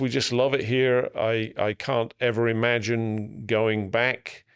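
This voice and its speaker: Recorded very cleanly against a silent background, a man with an English accent speaks at medium pitch. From England. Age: 60s. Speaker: business coach and peer group facilitator. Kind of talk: podcast interview.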